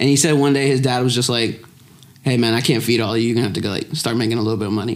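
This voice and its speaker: A man talks at a very fast pace with fairly even intonation and a medium pitch, and room echo is audible. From Lexington, Kentucky. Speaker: comedian. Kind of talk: casual chat.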